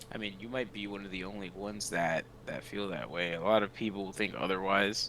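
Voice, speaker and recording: Over noticeable background noise, a man speaks at a fairly quick pace. His fairly low-pitched voice keeps a fairly even intonation. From Dominican Republic. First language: Spanish. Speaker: stream guest. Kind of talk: casual chat.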